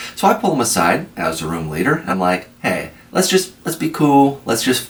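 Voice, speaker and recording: Noticeable background noise runs under a man talking in an American accent. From Iowa. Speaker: army veteran. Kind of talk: storytelling. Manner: animated.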